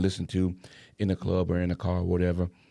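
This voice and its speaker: In a Savannah accent, a man speaks at a fairly quick pace with a very deep, low pitch, a dark, mellow tone and monotone, flat intonation, captured in a very clean recording with a silent background and a dry, close sound with no echo. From Savannah, Georgia. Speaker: saxophonist. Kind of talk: casual chat.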